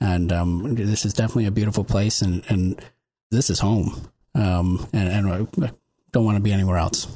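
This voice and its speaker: This man speaks with an American accent, at a fairly low pitch and with a dark, mellow tone. His voice is somewhat breathy, and its loudness stays very even. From upstate New York (Olean). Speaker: city manager. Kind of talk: panel discussion. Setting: studio.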